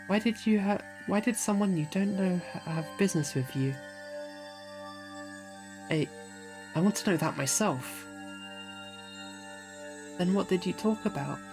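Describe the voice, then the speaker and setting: Over music in the background, a man with a high pitch speaks at a moderate pace with long, frequent pauses. His pitch swings very wide. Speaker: visual novel reader. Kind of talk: read story with character voices. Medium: read story.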